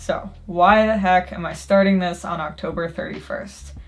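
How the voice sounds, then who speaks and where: A woman is speaking. Her pace is very slow. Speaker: writing vlogger. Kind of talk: vlog narration.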